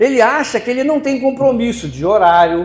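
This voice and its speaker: A man speaks with very wide pitch swings. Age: 70s. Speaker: preacher. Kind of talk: sermon.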